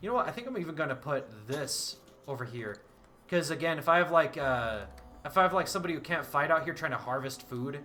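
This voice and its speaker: A man's words come out at a very fast pace. There is music behind him. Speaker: gaming streamer. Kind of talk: live gameplay commentary. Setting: live stream. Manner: slurred speech; halting, repeats words.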